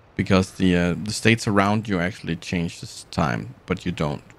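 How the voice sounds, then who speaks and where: With a non-native accent, this man speaks at a very deep, low pitch and ordinary pitch variation. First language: not English. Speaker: gaming streamer. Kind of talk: live gameplay stream commentary. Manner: halting, many fillers and restarts; casual, relaxed.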